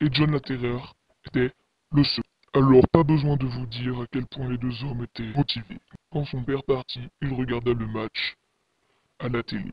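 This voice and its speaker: A man speaks in a put-on character voice at a medium pitch. His pace is moderate, broken by long, frequent pauses. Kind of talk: horror narration. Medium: read story. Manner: ominous, dramatic.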